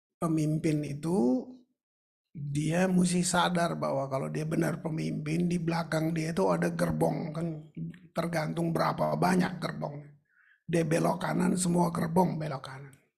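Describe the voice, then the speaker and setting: Audible room echo hangs around speech delivered at a fairly slow pace. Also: man. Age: 70s. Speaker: pastor. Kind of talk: sermon. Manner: conversational, informal.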